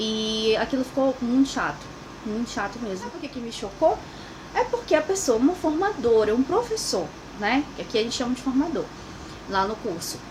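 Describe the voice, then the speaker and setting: Over noticeable background noise, a woman with a Brazilian accent speaks in a calm tone at a high pitch and moderate pace, with lively intonation and big swings in loudness. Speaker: immigrant vlogger. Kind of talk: personal vlog monologue.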